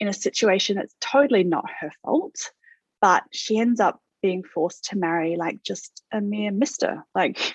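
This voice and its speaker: With an Australian accent, a woman talks at a moderate pace in a dry, close sound with no echo. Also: medium pitch for a woman, ordinary pitch variation. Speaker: author. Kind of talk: interview. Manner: hesitant, many fillers.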